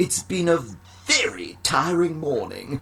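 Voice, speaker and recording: Someone performs a put-on character voice at a middle pitch and a fairly slow pace. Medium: read story. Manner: imperious, demanding.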